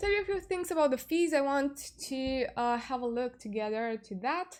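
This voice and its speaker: With lively intonation and a Romanian accent, a woman speaks at a moderate pace and a high pitch. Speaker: crypto YouTuber. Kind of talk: tutorial. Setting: live stream. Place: home room. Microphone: webcam.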